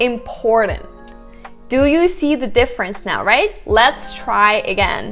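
Faint music plays in the background. A woman speaks in a high pitch with ordinary pitch variation. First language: Russian. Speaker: English pronunciation teacher. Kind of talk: language tutorial to camera. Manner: upbeat, casual. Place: home room. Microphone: lapel.

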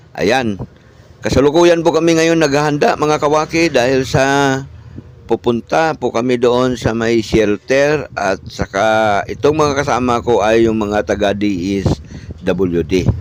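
A man talks at a fairly slow pace in a normal speaking voice of medium pitch. His intonation is lively while his loudness stays very even. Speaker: vlogger. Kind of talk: vlog narration update.

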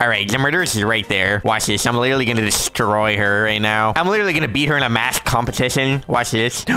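At a very fast pace, a man does a nasal, put-on character voice at medium pitch with very even loudness. Clear background noise can be heard. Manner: smug, gloating.

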